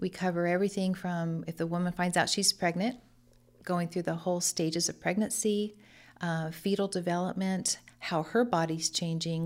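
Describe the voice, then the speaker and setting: A woman with a Californian accent speaks at a moderate pace and a medium pitch, with fairly even intonation. The recording is very clean, with a silent background. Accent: Californian American. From Central California, Lemoore. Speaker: pregnancy center director. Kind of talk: interview.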